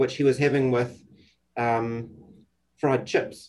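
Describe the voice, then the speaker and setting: A man speaks with a New Zealand accent. His intonation stays fairly even. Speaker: psychiatrist. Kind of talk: casual interview. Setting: video call.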